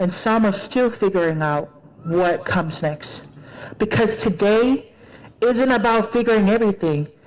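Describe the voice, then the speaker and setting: With a Tongan accent, a woman speaks at a fairly high pitch and a moderate pace. Her loudness stays very even, and her pitch varies in an ordinary way. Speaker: graduating student speaker. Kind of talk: commencement speech.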